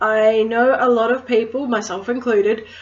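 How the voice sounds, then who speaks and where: The speech comes at a fairly slow pace in a strong Australian accent. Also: woman. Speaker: crystal healer, witchcraft vlogger. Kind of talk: casual educational vlog.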